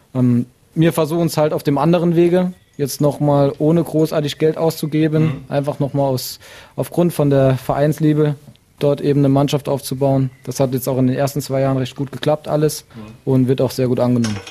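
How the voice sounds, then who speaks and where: This man has a fairly high pitch and fairly even intonation, moving at a fairly quick pace. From Saarland, Germany. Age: 20s. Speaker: amateur football club chairman. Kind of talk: interview. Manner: hesitant, many fillers.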